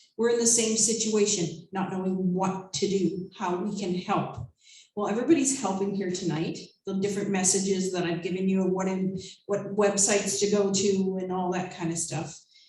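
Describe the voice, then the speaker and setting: A woman speaks at a moderate pace with a medium pitch and fairly even intonation. Room echo is audible in the recording. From Nova Scotia, Canada. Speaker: concert emcee. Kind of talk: live stage hosting. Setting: stage with audience.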